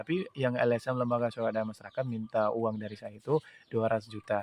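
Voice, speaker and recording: The speech runs at a very fast pace, its intonation fairly even. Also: man, medium pitch for a man. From Pakistan. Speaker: widower seeking justice. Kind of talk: personal testimony appeal. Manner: halting, many fillers.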